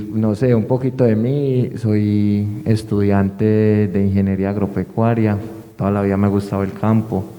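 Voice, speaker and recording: Over noticeable background noise, a man speaks at a fairly slow pace in a fairly low pitch. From Colombia, Medellín area, Antioquia. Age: 20s. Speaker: student. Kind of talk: casual self-introduction.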